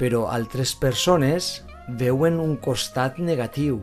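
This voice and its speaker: The speaker talks at a very slow pace in a Valencian accent. Music plays in the background. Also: man. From Valencia, Spain. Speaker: language teacher. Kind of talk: slow simple narration for language learners.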